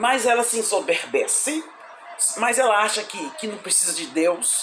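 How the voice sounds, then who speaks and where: The voice makes very wide pitch swings at a fairly slow pace. Noticeable background noise and audible room echo come through. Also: woman. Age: 60s. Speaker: evangelist, Bible teacher. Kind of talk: Bible study livestream. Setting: live stream. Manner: halting, many repetitions and fillers.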